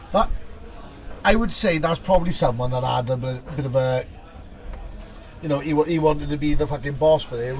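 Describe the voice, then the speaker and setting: Speaking with a Welsh accent over noticeable background noise, a man talks at a fairly quick pace yet with long, frequent pauses, his fairly high pitch showing ordinary variation. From Wales. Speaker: tabletop game tournament commentator. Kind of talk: live commentary. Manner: animated.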